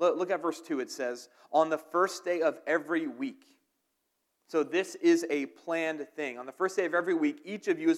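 Speaking at a moderate pace with an American accent, a man with a high pitch shows ordinary pitch variation and big swings in loudness. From southern New Jersey, near Philadelphia. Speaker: pastor. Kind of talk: sermon. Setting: church.

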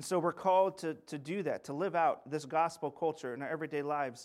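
In a very clean recording with a silent background, a man talks at a fairly quick clip with fairly high pitch, ordinary pitch movement, and an ordinary speaking voice. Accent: American. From US Pacific Northwest, Yakima Valley, Washington. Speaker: pastor and church planter. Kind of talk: sermon. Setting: church.

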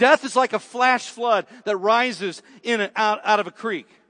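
The background is quiet. A man speaks in a bright, sharp tone. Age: 40s. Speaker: pastor. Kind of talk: sermon.

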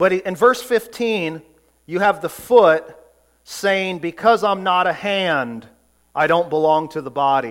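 A man's high voice, lively intonation and a fairly slow pace, on a very clean recording with a silent background. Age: 40s. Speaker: pastor. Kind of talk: sermon.

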